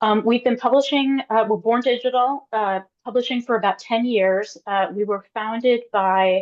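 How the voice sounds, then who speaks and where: A woman with an unremarkable speaking voice talks at a moderate pace, and her pitch varies in an ordinary way. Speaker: journal managing editor. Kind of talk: webinar presentation.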